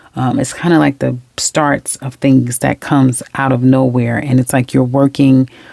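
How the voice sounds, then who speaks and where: A woman with a New York accent and a very deep, low pitch, hardly any pauses, and noticeable background noise. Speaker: tarot reader. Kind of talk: tarot reading monologue. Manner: fast; animated.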